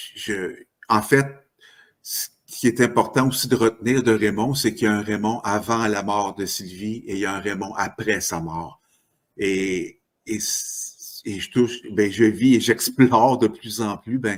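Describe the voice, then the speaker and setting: In a very clean recording with a silent background, a man speaks very slowly at fairly low pitch, with ordinary pitch variation and long, frequent pauses. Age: 60s. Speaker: author. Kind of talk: podcast interview. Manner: halting.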